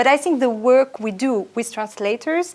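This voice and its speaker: With a French accent, a woman speaks at a moderate pace. Her pitch is fairly high. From France. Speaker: historian and author. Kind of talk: interview.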